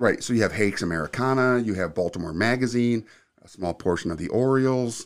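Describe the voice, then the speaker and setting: A man with an ordinary speaking voice, medium pitch and ordinary pitch variation, at a fairly quick pace, on a very clean recording with a silent background. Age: 50s. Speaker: video production studio owner. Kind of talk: casual interview.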